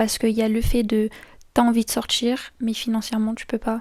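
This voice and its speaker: Over a very clean recording with a silent background, a woman speaks at a moderate pace in a fairly high, dark, mellow, somewhat breathy voice with monotone, flat intonation. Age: 20s. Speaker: YouTuber. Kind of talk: casual chat. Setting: face-cam video at home.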